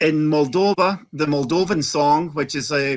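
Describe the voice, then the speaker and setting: A man with a Scottish accent speaks at a fairly high pitch with fairly even intonation. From Scotland. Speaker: Eurovision fan panelist. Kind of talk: casual chat.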